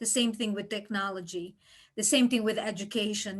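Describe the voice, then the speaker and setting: Against a quiet background, the speaker talks fairly quickly with a non-native accent and fairly even intonation. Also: woman. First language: not English. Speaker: interviewer. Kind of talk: interview.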